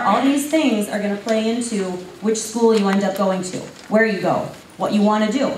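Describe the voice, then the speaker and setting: Ordinary pitch variation with audible room echo and noticeable background noise. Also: woman. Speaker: school counselor. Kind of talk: presentation to parents and students. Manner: fast.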